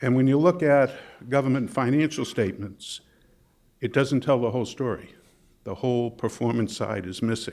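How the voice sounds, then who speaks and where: A man with a slight Boston accent talks at a moderate pace, leaving long, frequent pauses. His pitch is medium, with ordinary variation. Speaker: management consultant and presenter. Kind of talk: workshop presentation. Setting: conference workshop with audience.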